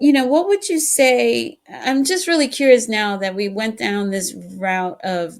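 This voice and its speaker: The speaker moves at a fairly slow pace with very wide pitch swings, in a very clean recording with a silent background. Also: woman. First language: Spanish. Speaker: podcast host. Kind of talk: casual interview chat.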